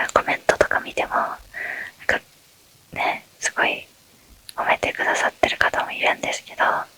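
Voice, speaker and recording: Whispering at a moderate pace in a relaxed tone, a woman is heard over noticeable background noise. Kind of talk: ASMR Q&A talk. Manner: whispered; relaxed, soft-spoken.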